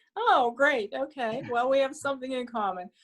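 A woman is speaking. She has a Pittsburgh accent. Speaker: Rotary speaker. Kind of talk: Q&A talk at club meeting.

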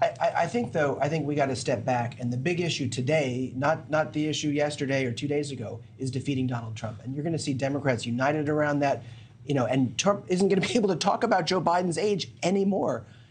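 Speaking at a very fast pace, a man with an American accent has a fairly high pitch. The room echo is audible. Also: ordinary pitch variation. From North Carolina. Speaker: congressman. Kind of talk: TV news interview. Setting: studio. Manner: halting.

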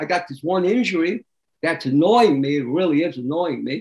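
A man speaks at a fairly quick pace in a high pitch. His pitch varies in an ordinary way against a quiet background. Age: 80s+. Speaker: raw food diet expert; interview guest. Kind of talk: interview. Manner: conversational, frequent filler phrases. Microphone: video call.

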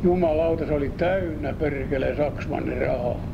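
The talking moves at a very slow pace. Noticeable background noise fills the recording. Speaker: memoir narrator. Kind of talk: spoken personal memoir storytelling. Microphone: old recording.

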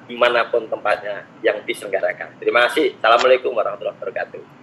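A man's voice over light background noise. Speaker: university program presenter. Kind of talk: presentation. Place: home room. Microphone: webcam.

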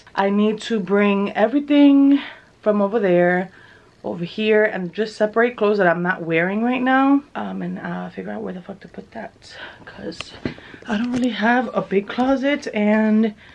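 A woman speaks at a moderate pace with ordinary pitch variation. Her loudness swings widely. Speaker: vlogger. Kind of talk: casual vlog chat. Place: home room. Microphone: phone near.

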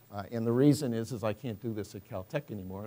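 A man talks at a very fast pace in a dark, mellow tone. Light background noise sits underneath. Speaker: professor, chemistry researcher; speaker. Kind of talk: scientific lecture. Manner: hesitant, many fillers. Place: hall. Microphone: podium.

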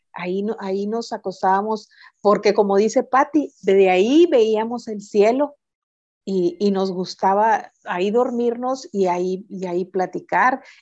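A woman speaks somewhat slowly, her pitch varying normally, against a quiet background. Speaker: reading mediator. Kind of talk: casual interview. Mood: warm nostalgic storytelling. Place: home room. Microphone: video call.

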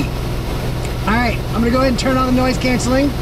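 A man at a very fast pace, dry sound with no echo, under loud background noise. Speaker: presenter. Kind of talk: casual vlog chat. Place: plane. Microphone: phone near.

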